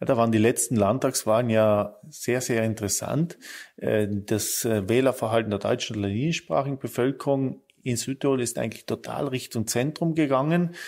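This man has a medium pitch, ordinary pitch variation and a moderate pace. His recording is very clean, with a silent background. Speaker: politician. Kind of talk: interview. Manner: halting.

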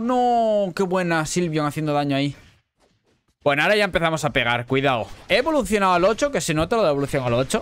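The speaker is a man with a Spanish accent. He talks fairly quickly. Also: quiet background. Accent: Peninsular Spanish. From Spain. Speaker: gaming youtuber and streamer; gaming youtuber, streamer. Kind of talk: gameplay commentary. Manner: animated. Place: home room.

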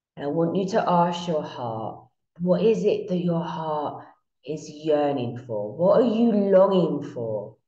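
Against a quiet background with audible room echo, a woman talks at a very slow pace in a soothing, calm tone. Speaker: meditation guide. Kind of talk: guided meditation. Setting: online class recorded from Bali, shared screen. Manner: slow, soothing, calm and hypnotic, with long drawn-out repetition. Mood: calm, soothing, slow.

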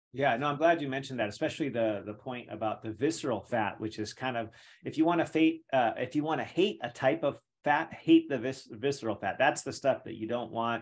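An American accent marks this man's enthusiastic tone. He talks at a fairly quick pace with ordinary pitch variation. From California. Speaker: podcast host. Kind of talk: interview podcast. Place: home room. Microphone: studio mic.

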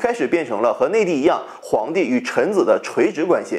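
A man talks at a fairly quick pace, his pitch swinging very widely. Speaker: history channel host. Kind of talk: educational commentary. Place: home room. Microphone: lapel.

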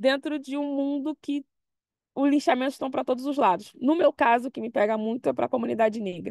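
A woman with a Brazilian accent at a fairly quick pace, in a dry sound with no echo against a quiet background. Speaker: computer scientist; panelist. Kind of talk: presentation. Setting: video call. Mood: engaged, smiling at times. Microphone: video call.

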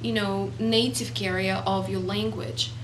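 A woman with a non-native accent speaks fairly slowly in a very deep, low pitch and monotone, flat intonation, with light background noise. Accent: foreign. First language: not English. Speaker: motivational speaker. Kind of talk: casual talk to camera. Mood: calm, earnest. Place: home room. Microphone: camera far.

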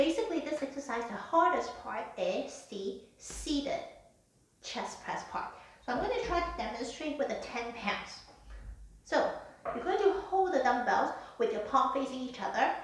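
A woman speaks at a moderate pace in a high pitch with very wide pitch swings. Audible room echo surrounds her voice. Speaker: fitness instructor. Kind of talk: live exercise demonstration with spoken instructions. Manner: clear, instructional, measured pace with occasional 'um' fillers; calm, even, step-by-step cueing. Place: home room. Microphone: camera far.

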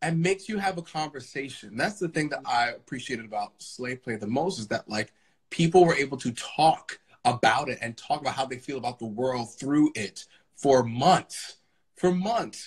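Against a quiet background, a man with an American accent speaks at a moderate pace in a fairly high, somewhat breathy voice with lively intonation. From Brooklyn, New York; New York. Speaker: Broadway actor. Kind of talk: casual chat. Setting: Instagram Live video from home. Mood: warm, joyful. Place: home room. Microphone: video call.

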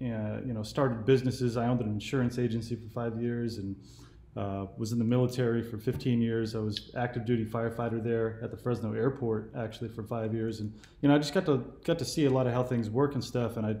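A man with a Californian accent speaks at a very fast pace, his tone dark and mellow and his intonation fairly even. Audible room echo surrounds the recording. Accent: Californian American. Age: 40s. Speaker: YouTube political commentator. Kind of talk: casual chat. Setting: phone call. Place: home room. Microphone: webcam.

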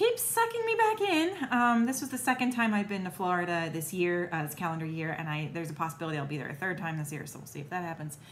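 Her voice fairly low and somewhat breathy, a woman talks at a very fast pace with big swings in loudness over light background noise. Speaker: vlogger. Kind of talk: casual vlog chat. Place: kitchen. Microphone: phone near.

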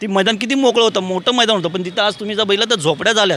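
A man speaks with ordinary pitch variation. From Mumbai, Worli. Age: young. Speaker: ward coordinator for a political party. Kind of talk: on-location interview. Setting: outdoors at a sports ground.

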